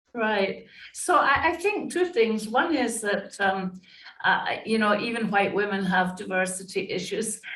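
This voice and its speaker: A woman with a Scottish accent, fairly high pitch and fairly slow pace, with audible room echo. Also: lively intonation. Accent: British (Scottish). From Scotland. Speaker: diversity and inclusion consultant. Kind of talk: interview.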